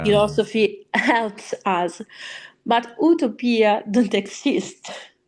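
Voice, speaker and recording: Speaking at a very slow pace in an Italian accent, a woman uses lively intonation at a fairly high pitch. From Italy. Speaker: opera singer. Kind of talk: interview answer.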